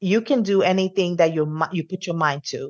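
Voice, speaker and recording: A woman with a fairly low pitch. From Colombia, raised in New Jersey. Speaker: realtor. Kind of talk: interview. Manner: animated.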